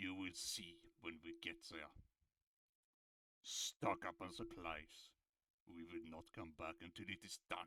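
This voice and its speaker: Using a put-on character voice, a man speaks very deep and low in a monotone, flat intonation at a fairly slow pace, with long, frequent pauses. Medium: actual play. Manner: curt, haughty, formal.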